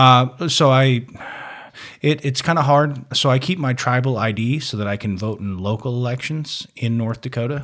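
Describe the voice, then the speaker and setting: A man with an ordinary speaking voice, medium pitch, ordinary pitch variation and a moderate pace, on a very clean recording with a silent background. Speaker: Navy veteran. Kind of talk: casual chat.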